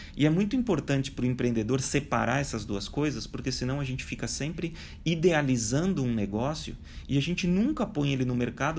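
Talking at a fairly quick pace, a man with vocal fry keeps a medium pitch and ordinary pitch variation. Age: 40s. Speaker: digital transformation speaker and author. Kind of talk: interview.

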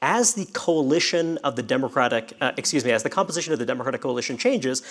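A man with an American accent talks very fast at a fairly high pitch over noticeable background noise. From Brooklyn, New York. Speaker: magazine editor and political writer. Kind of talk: panel discussion. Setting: stage with live audience.

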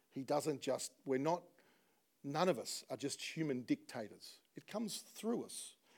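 At a fairly slow pace, a man with an Australian accent speaks with a fairly high pitch, lively intonation and big swings in loudness. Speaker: pastor. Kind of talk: sermon. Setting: church.

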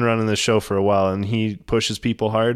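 The speaker is a man with a fairly low pitch. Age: 30s. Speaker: ironworker recovering from injuries. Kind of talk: casual chat.

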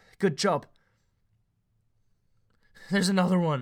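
In a croaky, high-pitched put-on character voice, a man speaks at a moderate pace on a very clean recording with a silent background. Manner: croaking, weak.

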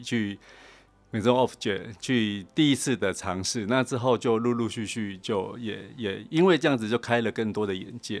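The recording is very clean, with a silent background, and the man in it has an unremarkable speaking voice. He talks at a moderate pace and medium pitch with ordinary pitch variation. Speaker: design director. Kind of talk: interview. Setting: studio.

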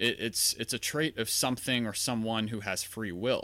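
On a very clean recording with a silent background, a man speaks at a moderate pace and medium pitch. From US South, Louisiana near New Orleans. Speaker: podcaster and philosophy student. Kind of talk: solo monologue, casual commentary. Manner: hesitant, many fillers and restarts.

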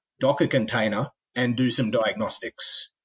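Over a quiet background, a man with an Australian accent speaks at a medium pitch with fairly even intonation. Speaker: tech company founder. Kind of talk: interview.

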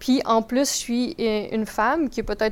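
A woman with a fairly high pitch at a moderate pace, a normal speaking voice. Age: 20s. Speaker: real estate investor. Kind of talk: podcast interview.

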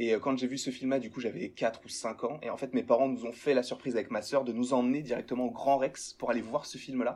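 With hardly any pauses, a man talks at a fairly quick pace in a medium-pitched voice with fairly even intonation. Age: young. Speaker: YouTuber, pop culture fan. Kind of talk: casual chat. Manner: hesitant, many repeated words.

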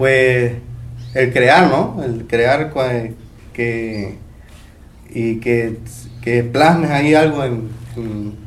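A man's medium-pitched voice with fairly even intonation and audible room echo. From Mexico, Veracruz (Tlacotalpan). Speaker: instrument maker. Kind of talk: interview testimony. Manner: hesitant, filler-heavy.

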